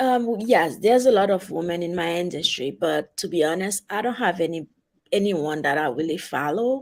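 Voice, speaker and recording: With a strong Haitian accent, a woman of fairly low pitch speaks at a moderate pace and with lively intonation, on a very clean recording with a silent background. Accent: heavy Haitian. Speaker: travel advisor, guest. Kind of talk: interview.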